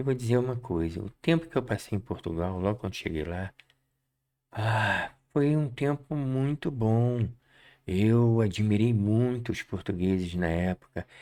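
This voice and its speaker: A man speaks at a fairly slow pace and a medium pitch, his tone dark and mellow. His intonation is lively, and the recording is very clean with a silent background. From Brazil. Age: 70s. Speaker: political commentator. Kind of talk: opinion monologue.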